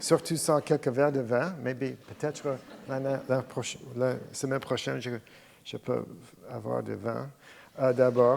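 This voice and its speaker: The speaker has an English accent and a fairly slow pace. Long, frequent pauses break up the speech. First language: English (speaking French). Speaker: invited professor, evolutionary biologist. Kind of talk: lecture. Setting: lecture hall with audience. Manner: halting, searching for words.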